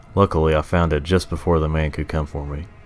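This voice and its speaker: A man's very deep, low voice is heard with music in the background. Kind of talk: horror story narration.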